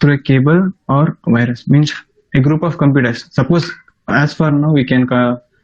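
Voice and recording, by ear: A man speaks at a moderate pace. His voice sits fairly high, with ordinary pitch variation.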